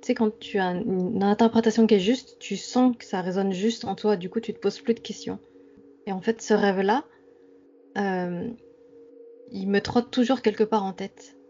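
Over music in the background, a woman with a fairly high pitch and fairly even intonation talks at a moderate pace, taking long, frequent pauses. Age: 30s. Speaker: dream enthusiast. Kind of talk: interview.

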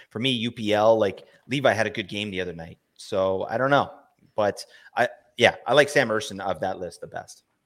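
An unremarkable speaking voice from a man, fairly low in pitch, at a fairly quick pace, with ordinary pitch variation and big swings in loudness. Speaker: podcast co-host, fantasy hockey analyst. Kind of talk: casual podcast chat about fantasy hockey. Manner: jokey, bantering.

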